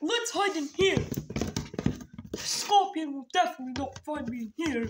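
A cartoonish character voice with a high pitch moves at a moderate pace. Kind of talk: comic overacting. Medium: puppet show. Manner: frantic, whiny, shouting.

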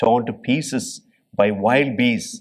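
In a quiet setting, a man with medium pitch and ordinary pitch variation talks at a fairly slow pace. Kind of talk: homily. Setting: church. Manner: earnest, teacherly, explaining scripture in plain, steady phrases. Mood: earnest, gentle. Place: church. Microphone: podium.

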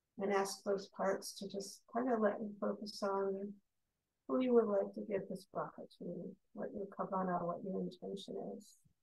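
With vocal fry and a medium pitch, a woman speaks in fairly even intonation. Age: 60s. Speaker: meditation leader and psychotherapist. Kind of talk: guided meditation. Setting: video call. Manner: slow.

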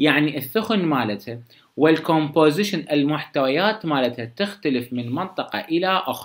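The setting is quiet. A man speaks, his intonation lively. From Iraq. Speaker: medical lecturer. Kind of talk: lecture. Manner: casual, conversational. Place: home room.

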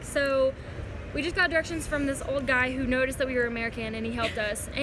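Noticeable background noise sits behind a woman with a raised, projected voice. She talks at a fairly quick pace with ordinary pitch variation. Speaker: travel vlogger. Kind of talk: casual vlog chat. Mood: mildly frustrated, then relieved. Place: station. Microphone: phone near.

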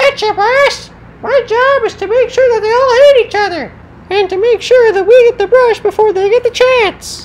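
An extremely high-pitched voice speaks at a moderate pace over clear background noise. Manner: eager, goofy, cheerful.

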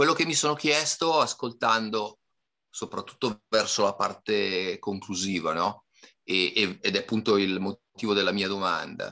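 A bright, sharp tone over a quiet background. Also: man, fairly low pitch for a man, fairly slow pace. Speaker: course participant. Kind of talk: question from audience. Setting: video call. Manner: halting. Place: home room. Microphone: webcam.

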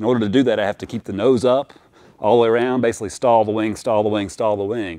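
The recording has a quiet background. A man speaks at a fairly low pitch. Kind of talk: walkaround explanation to viewers. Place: garage.

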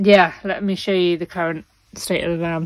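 The voice moves at a fairly slow pace with fairly even intonation, and the sound is dry with no echo. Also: woman. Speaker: travel vlogger. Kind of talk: casual vlog chat. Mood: relaxed, joking, after a drink. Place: home room. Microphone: phone near.

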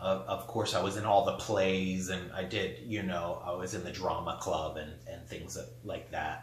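A man talks with hardly any pauses, and audible room echo surrounds his voice. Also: ordinary pitch variation, moderate pace. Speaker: artist and gallery owner. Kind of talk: personal storytelling monologue. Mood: reflective, candid. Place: home room.

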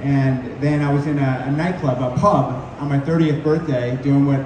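A man is heard amid noticeable background noise and audible room echo. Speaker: guest. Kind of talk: interview answer. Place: hall. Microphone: camera far.

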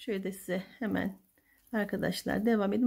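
Soft-spoken and dark, mellow in tone, a woman talks at a fairly slow pace against a quiet background. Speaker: crochet tutorial youtuber; crochet tutor. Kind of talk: tutorial. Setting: home at night. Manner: halting. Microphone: phone near.

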